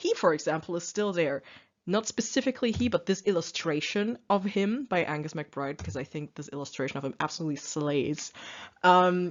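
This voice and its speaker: Speaking with a non-native accent, a woman with a fairly low pitch talks at a moderate pace with lively intonation. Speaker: youtuber explaining a book. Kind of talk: casual presentation monologue. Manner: hesitant, many fillers.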